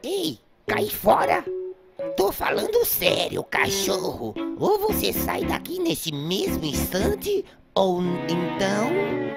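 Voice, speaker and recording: A put-on character voice speaks at a very slow pace. Loud music plays in the background. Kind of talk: comic overacting. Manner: menacing, melodramatic threats.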